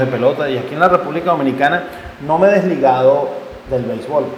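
Noticeable background noise and audible room echo fill the recording. A man speaks at a fairly quick pace with a fairly high pitch. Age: 50s. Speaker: podcast host and independent sports journalist. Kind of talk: solo podcast monologue with advice.

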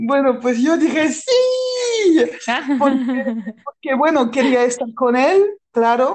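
A woman's high-pitched voice with lively intonation at a very slow pace. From France. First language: French (speaking Spanish). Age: 30s. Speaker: improv performer. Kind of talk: personal testimony. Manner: halting.

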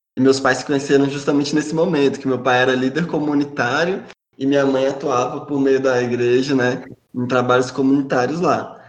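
Audible room echo surrounds a man who speaks fairly quickly at a fairly high pitch, his intonation monotone and flat. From Brasília, Brazil. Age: 30s. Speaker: podcast panelist. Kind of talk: personal testimony.

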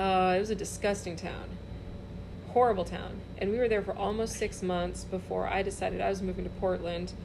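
Noticeable background noise and audible room echo are both present. Through them, a woman speaks at a fairly quick pace. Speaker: comedian. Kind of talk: casual chat.

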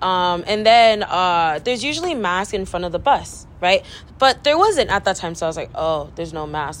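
A woman with an American accent uses a plain, everyday voice at a fairly low pitch. She talks at a fairly quick pace with lively intonation. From Central Valley, California (Delano). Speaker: college student podcast co-host. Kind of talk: casual chat.

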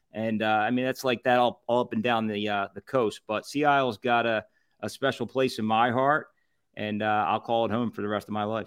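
A man speaks fairly quickly with a Philadelphia accent. His pitch is medium and his intonation fairly even. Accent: Philadelphia area. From Southampton, Pennsylvania. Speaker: food reviewer and podcast founder. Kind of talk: casual chat.

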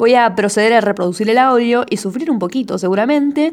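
The woman has an unremarkable speaking voice with a fairly high pitch. Her intonation is lively and her pace moderate. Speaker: amateur poet and podcaster. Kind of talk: casual monologue podcast.

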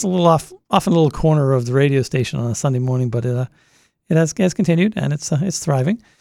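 A man with an American accent talks at a very fast pace, his fairly high pitch carrying a dark, mellow tone. His intonation is lively, and the sound is dry and close with no echo. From Massachusetts, Boston area. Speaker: radio host. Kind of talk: casual interview chat. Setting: studio.

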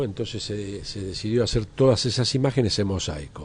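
A man speaks at a moderate pace with a somewhat breathy voice and ordinary pitch variation. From Argentina, Buenos Aires area. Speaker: photographer. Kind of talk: interview. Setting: café.

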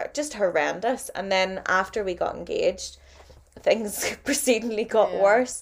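This woman speaks with a Northern Irish accent at a moderate pace. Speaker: podcast co-host. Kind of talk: casual chat.

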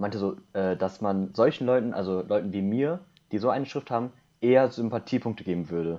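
A man with an ordinary speaking voice talks at a fairly quick pace, his fairly low pitch showing ordinary pitch variation. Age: 20s. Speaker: podcast guest, university student. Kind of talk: casual chat.

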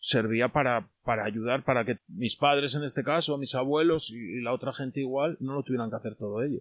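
A man talks in an unremarkable speaking voice at medium pitch with ordinary pitch variation. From Spain, León province village. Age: 40s. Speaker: villager. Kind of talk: casual interview.

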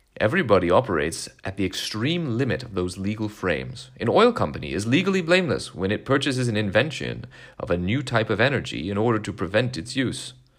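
Very fast and full of very wide pitch swings, a man talks at a fairly low pitch. Vocal fry runs through his voice. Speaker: podcast host reading a speech aloud. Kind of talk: formal reading aloud of a 1970s commencement address, measured and solemn.

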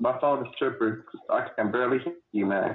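A man talks at medium pitch, with noticeable background noise around his voice. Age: 30s. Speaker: military veteran and podcast co-host. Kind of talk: casual chat. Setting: in a car.

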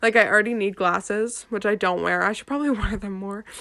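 A woman talks very fast at a medium pitch, her intonation fairly even, with noticeable background noise behind her. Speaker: podcast host. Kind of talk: solo casual chat. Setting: bedroom at home.

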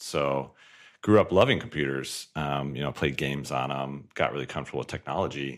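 This man has a very deep, low pitch and an American accent. Vocal fry runs through his speech. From Colorado, US. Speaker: tech company founder and CEO. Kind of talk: podcast interview.

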